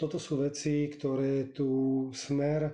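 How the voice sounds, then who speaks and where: At a very slow pace, a man with a fairly high pitch talks in a dark, mellow tone with monotone, flat intonation. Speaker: politician. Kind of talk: political interview.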